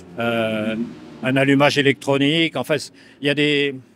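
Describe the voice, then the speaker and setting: Very slowly, a man speaks. His fairly high voice holds a fairly even intonation. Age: 70s. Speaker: motorcycle racer. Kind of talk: interview.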